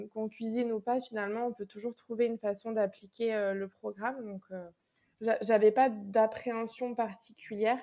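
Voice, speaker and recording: Her dark, mellow voice stays flat and monotone at a moderate pace, though the woman's loudness swings widely. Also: fairly high pitch for a woman. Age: 20s. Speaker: school education counselor, dietetic patient. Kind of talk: casual interview testimony. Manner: hesitant with repetitions.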